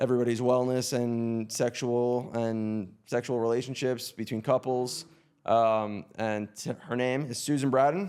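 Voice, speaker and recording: A man speaks at a fairly slow pace with fairly even intonation, in a plain, everyday voice at medium pitch. The recording is very clean, with a silent background. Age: 30s. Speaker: podcast host. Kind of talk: interview.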